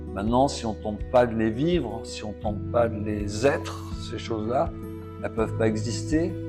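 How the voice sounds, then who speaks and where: There is music in the background as a man speaks. His fairly low pitch moves in very wide swings. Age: 60s. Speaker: artist. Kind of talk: interview answer. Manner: hesitant, reflective.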